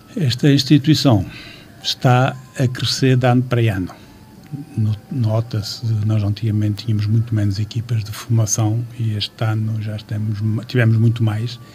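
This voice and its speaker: Over music in the background, the voice moves at a moderate pace with fairly even intonation. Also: man, medium pitch for a man. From Portugal, Amarante area. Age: 60s. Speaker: football club president. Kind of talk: radio interview. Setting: radio studio. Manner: halting.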